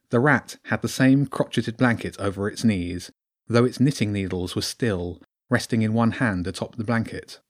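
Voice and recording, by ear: With ordinary pitch variation and quiet surroundings, a person reads aloud in a natural voice.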